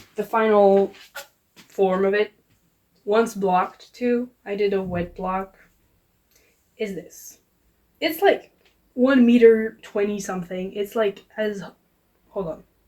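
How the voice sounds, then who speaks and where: Very slow and marked by long, frequent pauses, a woman speaks in a medium pitch. Her tone is dark and mellow, her intonation fairly even. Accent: French. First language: French. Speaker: vlogger. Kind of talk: casual vlog chat. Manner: casual, conversational.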